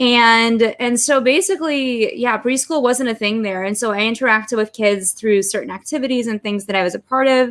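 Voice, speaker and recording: A woman's fairly high voice at a fairly quick pace with hardly any pauses. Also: ordinary pitch variation, very clean recording, silent background. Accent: Los Angeles. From Russia, moved to Los Angeles at five. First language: Russian. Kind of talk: interview.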